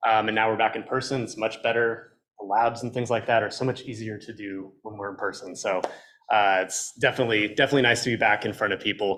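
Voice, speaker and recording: A loud man with an American accent, very fast pace, bright, sharp tone and monotone, flat intonation. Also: medium pitch for a man. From Texas. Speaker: college professor. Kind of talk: club meeting introduction.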